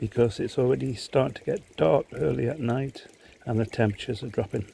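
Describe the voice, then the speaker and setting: A man's dark, mellow tone has vocal fry and a medium pitch. He moves at a fairly quick pace with ordinary pitch variation. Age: 70s. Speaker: koi pond hobbyist video maker. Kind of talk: casual tutorial vlog.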